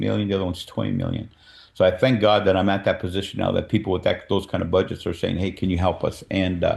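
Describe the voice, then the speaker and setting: Talking very fast, a man with a fairly low pitch keeps his intonation fairly even and shows vocal fry. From California. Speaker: filmmaker and producer. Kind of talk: presentation to a meeting.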